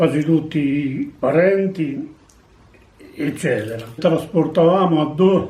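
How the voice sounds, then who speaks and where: This man's fairly high pitch shows ordinary variation as he talks at a very slow pace. Long, frequent pauses fall in audible room echo. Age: 80s+. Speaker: war veteran. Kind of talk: testimony. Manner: halting.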